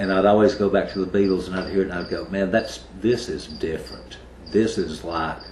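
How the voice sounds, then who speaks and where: Amid audible room echo and noticeable background noise, a man with an East Tennessee accent speaks at a very deep, low pitch with ordinary pitch variation. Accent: Southern US (East Tennessee). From US South, Kingsport, Tennessee. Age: 40s. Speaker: heavy metal bassist. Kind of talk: interview.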